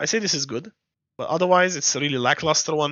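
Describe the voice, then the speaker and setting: With a non-native accent, the speaker talks at a very fast pace. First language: not English. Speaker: game playtester. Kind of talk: game guide talk. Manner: casual, hesitant.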